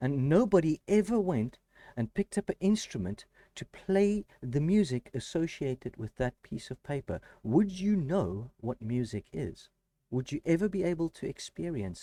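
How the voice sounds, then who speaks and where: A man with a South African accent has a dark, mellow tone at a fairly high pitch, with very wide pitch swings. He speaks at a moderate pace, and the sound is dry and close with no echo. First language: Afrikaans. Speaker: math educator, YouTuber. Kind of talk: educational talk to camera. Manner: halting, with self-corrections.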